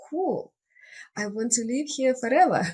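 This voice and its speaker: The voice carries a Russian accent. It sounds somewhat breathy. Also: woman. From Russia (Siberia). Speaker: life coach and nature retreat guide. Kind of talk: interview.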